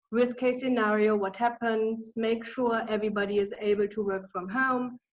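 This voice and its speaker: Speaking in a German accent, a woman has a fairly high pitch. Her pace is moderate and her intonation fairly even. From Germany. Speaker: business consultant. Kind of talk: webinar presentation. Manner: hesitant, many fillers.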